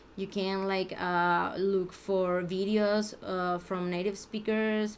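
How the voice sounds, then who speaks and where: Very slow speech from a woman with a Mexican accent, medium pitch, and fairly even intonation. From Mexico. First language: Spanish. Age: 30s. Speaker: language learner vlogger. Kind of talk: unscripted practice monologue. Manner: halting, many restarts and fillers.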